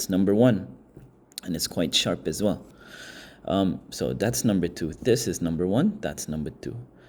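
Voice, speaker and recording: Someone with a non-native accent and vocal fry talks at a moderate pace with lively intonation and long, frequent pauses. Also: man, very deep, low pitch for a man. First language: not English. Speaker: product reviewer. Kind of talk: product review. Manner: casual, hesitant.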